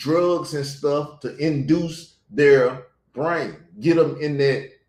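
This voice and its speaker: At a very slow pace, a man with a fairly high, somewhat breathy voice keeps a fairly even intonation. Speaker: YouTube commentator. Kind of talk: casual commentary.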